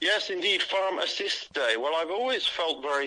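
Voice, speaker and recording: The speaker has a British accent and talks at a fairly quick pace. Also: man. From England. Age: 60s. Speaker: caller. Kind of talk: casual chat. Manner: rambling, halting.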